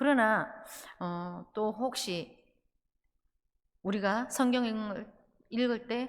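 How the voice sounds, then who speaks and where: A woman speaks very slowly in a Gyeongsang accent, her pitch fairly high. Long pauses come often, and her pitch varies in an ordinary way. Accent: picked-up Gyeongsang pronunciation. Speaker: pastor. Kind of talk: sermon. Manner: halting, many filler sounds.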